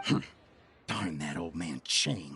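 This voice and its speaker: A man growls in a put-on character voice with a very deep, low pitch. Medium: video game. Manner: fawning, ingratiating.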